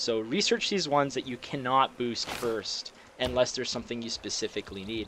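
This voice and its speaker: A man talks fairly quickly with a Canadian accent. There is noticeable background noise. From Canada. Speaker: video game let's play creator. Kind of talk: gameplay commentary. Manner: casual with many fillers and hesitations.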